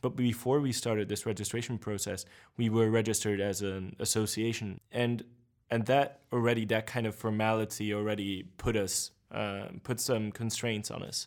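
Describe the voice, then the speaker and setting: Fairly even intonation in a Hungarian accent at a moderate pace, on a very clean recording with a silent background. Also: man, fairly low pitch for a man. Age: 20s. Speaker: party spokesperson. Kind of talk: interview.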